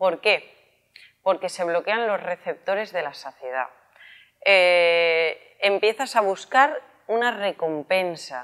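A woman speaks at a very slow pace with lively intonation against a quiet background. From Spain. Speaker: health and wellness youtuber; wellness youtuber. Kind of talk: casual explanatory vlog. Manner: animated. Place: shop. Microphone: lapel.

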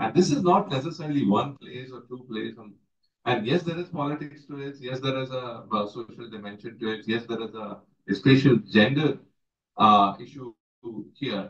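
A man with an Indian accent sounds somewhat breathy, his intonation lively. Audible room echo is present, though the background is quiet. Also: medium pitch for a man, moderate pace. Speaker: water professional; panelist. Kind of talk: closing remarks. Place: meeting room. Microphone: camera far.

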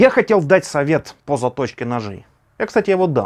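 A man with lively intonation at a moderate pace, quiet background. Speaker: knife hobbyist vlogger. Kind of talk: casual vlog chat. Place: home room.

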